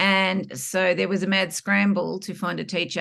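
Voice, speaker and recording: A woman with an Australian accent. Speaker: former teacher. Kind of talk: interview testimony.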